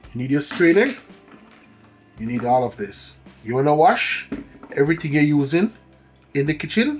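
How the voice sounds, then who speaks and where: With music in the background, a man with a fairly high pitch and lively intonation talks at a moderate pace, leaving long, frequent pauses. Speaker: cooking channel chef. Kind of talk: cooking tutorial. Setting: home kitchen.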